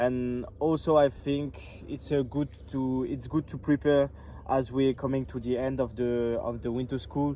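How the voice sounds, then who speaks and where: Fairly slow and fairly even in intonation, a man talks at a medium pitch. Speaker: Bible school student. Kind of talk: casual video diary chat. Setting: outdoors by a view. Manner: halting, many fillers.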